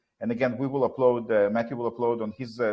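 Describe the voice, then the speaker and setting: A man with a non-native accent talks very fast at a medium pitch, his intonation monotone and flat. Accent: foreign. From Soviet Union. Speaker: talk show host. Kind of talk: live talk show discussion. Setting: live stream. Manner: halting, with many fillers.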